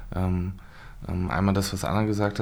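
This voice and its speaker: Here is a normal speaking voice at a moderate pace. The intonation stays fairly even. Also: man. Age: 30s. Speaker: member of parliament. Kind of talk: casual chat.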